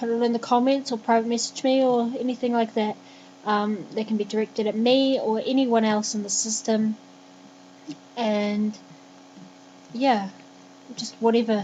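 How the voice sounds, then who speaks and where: Against noticeable background noise, a woman with a New Zealand accent speaks in a fairly high, flat monotone, leaving long, frequent pauses. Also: moderate pace. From New Zealand, Christchurch. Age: 20s. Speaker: vlogger. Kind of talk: vlog monologue.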